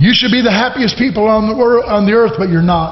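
A man talks at a moderate pace in an animated tone. Audible room echo surrounds his voice. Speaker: preacher. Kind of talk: sermon. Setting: church; stage with audience. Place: church. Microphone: podium.

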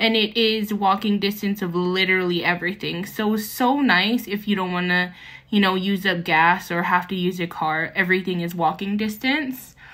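With hardly any pauses, a woman speaks at a moderate pace in a bright, sharp tone, her pitch varying in an ordinary way over a quiet background. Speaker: travel vlogger. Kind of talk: casual vlog chat. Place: hall. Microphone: phone near.

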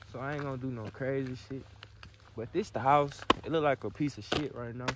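A man talks at a moderate pace over loud background noise, in a dry sound with no echo. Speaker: vlogger. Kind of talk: casual vlog chat. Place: open country. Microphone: phone near.

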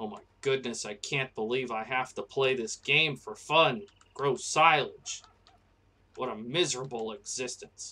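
A man puts on a whiny character voice at a medium pitch, speaking at a moderate pace with ordinary pitch variation. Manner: whiny, disdainful.

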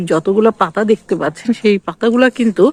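A woman is speaking. She has a Bangladeshi accent. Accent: Bangladeshi Bengali. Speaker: vlogger. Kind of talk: casual vlog narration. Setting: outdoors in a village. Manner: halting.

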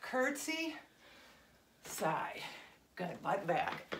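A woman's voice with noticeable background noise. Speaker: fitness instructor. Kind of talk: workout class instruction. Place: gym.

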